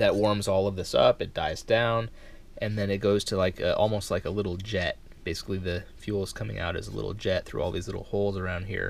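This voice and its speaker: The sound is dry, without echo, and carries light background noise. A man is speaking at a moderate pace. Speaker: camping gear reviewer. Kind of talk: casual product demonstration. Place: home room. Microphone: camera far.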